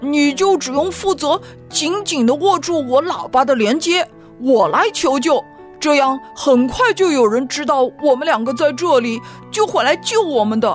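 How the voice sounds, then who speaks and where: Over clear background music, a woman does a put-on character voice, high-pitched and at a moderate pace. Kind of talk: children's bedtime story. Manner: relieved, excited.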